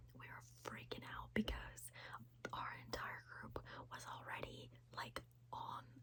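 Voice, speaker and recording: Very slow whispering from a woman, broken by long, frequent pauses. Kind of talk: ASMR whisper storytelling to camera. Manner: whispered, chatty.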